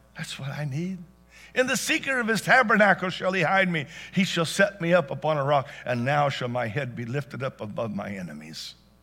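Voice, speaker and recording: Over music in the background, a man speaks at a fairly quick pace with a fairly high pitch and very wide pitch swings. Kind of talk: sermon. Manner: fervent, call-and-response pulpit delivery, pausing for congregation.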